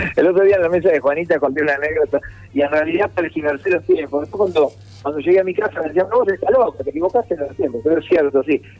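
Racing along at a very fast pace, a man speaks with lively intonation and a fairly high pitch. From Argentina, Mar del Plata. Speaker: comedian. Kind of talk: casual interview.

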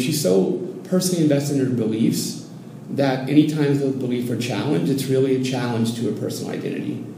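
Over noticeable background noise and audible room echo, the speech moves at a moderate pace. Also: man. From US cities, later Oregon. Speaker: Zen Buddhism student. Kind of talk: casual interview conversation. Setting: in person, Mexico City. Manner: halting, many repetitions and fillers.

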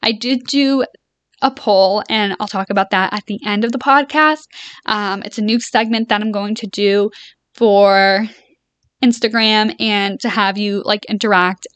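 A woman's fairly high voice at a fairly slow pace, with fairly even intonation over a quiet background. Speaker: solo podcast host and boutique owner. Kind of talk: casual solo chat.

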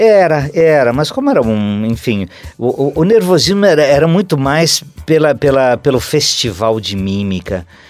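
Very wide pitch swings in a man's fairly high voice, at a moderate pace. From Santa Catarina interior, Brazil. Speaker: theatre actor. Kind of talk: interview. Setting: radio studio. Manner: halting.

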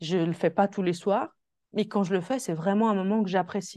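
In a quiet background, a woman speaks at medium pitch and a moderate pace, with ordinary pitch variation. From Switzerland. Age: 20s. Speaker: holistic coach. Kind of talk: interview. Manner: soft-spoken.

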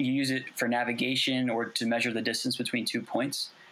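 A man talks at a fairly quick pace with monotone, flat intonation. Noticeable background noise sits behind him. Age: 20s. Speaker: artist. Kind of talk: interview.

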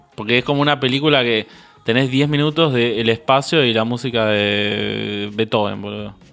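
Speaking in a Rioplatense accent at a moderate pace, a man uses a medium pitch and ordinary pitch variation over noticeable background noise. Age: 20s. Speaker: podcast co-host. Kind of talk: casual chat.

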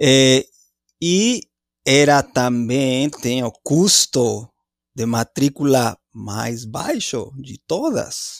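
A man with a Spanish accent at a very slow pace, ordinary pitch variation, and a dry, close sound with no echo. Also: medium pitch for a man. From Mexico, Mexico City. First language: Spanish (speaking Portuguese). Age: 40s. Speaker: anthropology professor. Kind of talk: interview. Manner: halting.

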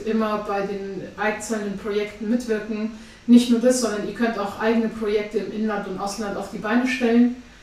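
A woman speaks in a fairly high, flat, monotone voice, with audible room echo and noticeable background noise. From Afghanistan. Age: 20s. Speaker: charity chairwoman. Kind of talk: interview. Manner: hesitant with many fillers.

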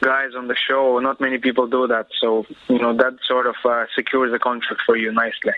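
A man speaks in a flat, monotone way over noticeable background noise. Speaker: professional MMA fighter. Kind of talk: interview.

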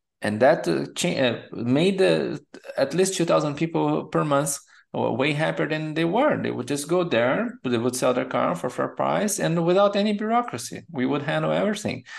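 A man with a Portuguese accent speaks at a moderate pace against a quiet background. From Brazil. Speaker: product management coach. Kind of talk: interview.

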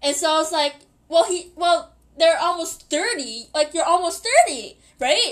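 This woman's voice sits at an extremely high pitch, with an animated tone, lively intonation and a moderate pace. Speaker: podcast host. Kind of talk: casual monologue. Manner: rambling, animated with laughter.

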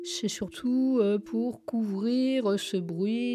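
A woman's fairly high voice with ordinary pitch variation amid noticeable background noise. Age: 70s. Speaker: retiree living alone with tinnitus. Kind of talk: personal testimony. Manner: halting.

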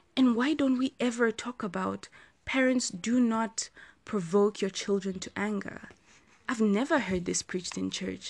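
A woman's fairly high, somewhat breathy voice, with ordinary pitch variation and a fairly slow pace against a quiet background. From Zambia. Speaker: podcast host. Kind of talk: solo monologue podcast.

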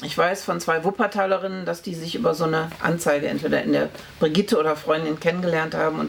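A woman speaks at a fairly low pitch and a fairly quick pace over noticeable background noise. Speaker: historian. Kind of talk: oral history interview.

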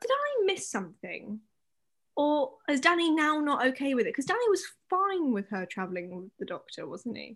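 A woman speaks at a high pitch with very wide pitch swings. Her loudness also swings a lot. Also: moderate pace. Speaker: podcast host. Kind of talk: casual chat. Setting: late night recording. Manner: joking, playful.

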